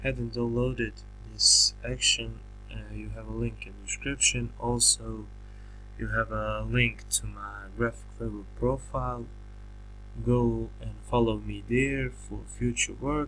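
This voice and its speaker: Over music in the background, a man with a non-native accent speaks fairly slowly in a very deep, low voice, his intonation flat and monotone while his loudness swings widely. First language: not English. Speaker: graphic designer making a software tutorial. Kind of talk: tutorial. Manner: halting, many fillers and restarts.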